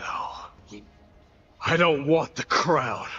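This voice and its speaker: A man's high-pitched, put-on character voice. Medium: video game. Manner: grave, intense.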